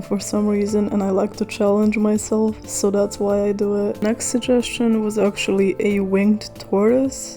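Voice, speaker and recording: The voice carries a non-native accent. Its intonation is monotone and flat, and the background noise is noticeable. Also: woman. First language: not English. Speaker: art YouTuber. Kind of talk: casual voiceover chat. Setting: home voiceover recording.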